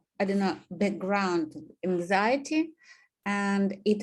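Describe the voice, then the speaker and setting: In a Russian accent, the speaker proceeds at a very slow pace. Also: woman. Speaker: student. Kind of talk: presentation. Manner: halting, many fillers.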